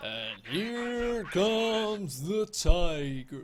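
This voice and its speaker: Someone speaks in a put-on character voice. Clear background noise runs underneath. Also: man, high pitch for a man. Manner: announcer-like, imitated.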